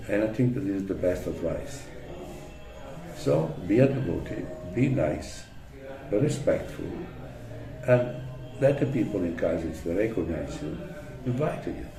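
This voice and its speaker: Over music in the background and with audible room echo, a man speaks at a fairly slow pace at medium pitch, his pitch swinging very widely amid long, frequent pauses. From Italy. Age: 70s. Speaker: religious devotee and preacher. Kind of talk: interview. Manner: halting.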